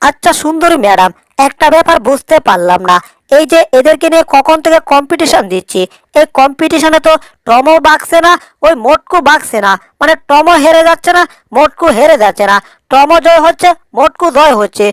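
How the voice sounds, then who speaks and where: A woman performs a cartoonish character voice at a high pitch with lively intonation. She keeps a moderate pace and very even loudness. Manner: rambling, puzzled.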